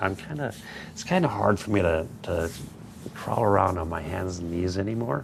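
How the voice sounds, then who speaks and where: Over noticeable background noise and audible room echo, a man with a very deep, low pitch talks at a moderate pace with ordinary pitch variation. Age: 60s. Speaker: model railroad YouTuber. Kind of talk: casual livestream chat. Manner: halting.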